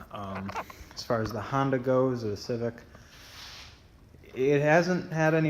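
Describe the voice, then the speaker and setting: A man with a medium pitch and ordinary pitch movement talks at a moderate rate, his voice carrying audible room echo over noticeable background noise. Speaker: car vlogger. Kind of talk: casual vlog talk to camera. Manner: rambling, hesitant with fillers.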